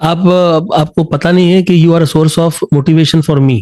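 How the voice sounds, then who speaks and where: A man has a dark, mellow tone. His pitch sits fairly high. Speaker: singing teacher. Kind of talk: casual talk.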